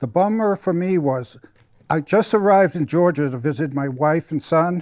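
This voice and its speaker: A man talks with an American accent at a fairly high pitch and a moderate pace. His pitch varies in an ordinary way, and the sound is dry and close with no echo. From Massachusetts. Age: 60s. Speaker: wrestling referee. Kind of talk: casual interview.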